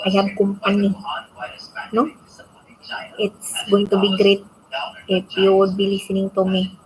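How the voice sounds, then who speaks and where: A woman with a Visayan accent talks at a fairly slow pace in a medium pitch, her intonation monotone and flat. Long, frequent pauses break up her speech, and there is noticeable background noise. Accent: Bisaya. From Philippines. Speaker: vlogger. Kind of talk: casual late-night monologue. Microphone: built-in mic, external mic not yet arrived.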